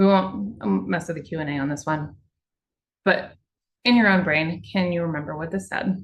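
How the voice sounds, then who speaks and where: Somewhat breathy and fairly low in pitch, a woman speaks with long, frequent pauses. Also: ordinary pitch variation. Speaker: water utility communicator. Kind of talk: webinar presentation. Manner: fast; casual, conversational.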